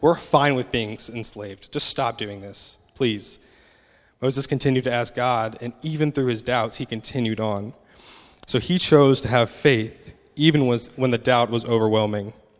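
This man speaks with an American accent at a medium pitch. His pitch variation is ordinary, and his pace is moderate. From United States. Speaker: pastor. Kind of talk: sermon. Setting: church. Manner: casual with frequent fillers.

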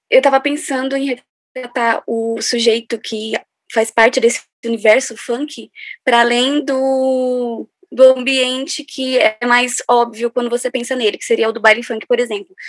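A woman speaks in a high voice at a fairly slow pace. Her intonation is monotone and flat. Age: 20s. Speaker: cultural project researcher. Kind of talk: podcast interview.

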